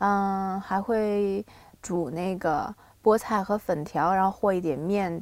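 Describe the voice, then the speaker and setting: A woman uses a normal speaking voice at medium pitch with ordinary pitch variation. Her recording is very clean, with a silent background. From Shandong, China (Binzhou). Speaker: singer-songwriter. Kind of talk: casual interview. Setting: studio.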